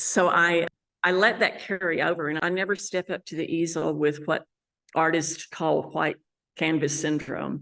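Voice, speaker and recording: Spoken with a West Texas accent, the voice has vocal fry and fairly even intonation at a moderate pace. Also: woman. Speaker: landscape painter. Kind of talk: interview monologue. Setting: art gallery.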